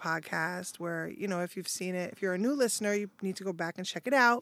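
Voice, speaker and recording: This woman's voice sits at a medium pitch and varies in an ordinary way. Her recording is very clean, and the background is silent. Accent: New York. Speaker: manager. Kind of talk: casual chat. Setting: studio. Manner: laughs often.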